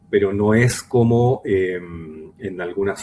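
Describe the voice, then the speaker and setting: A man talks at a fairly low pitch, and noticeable background noise is present throughout. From Chile, Arica (north). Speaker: psychologist and community advocate. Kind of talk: interview conversation. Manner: slow, deliberate.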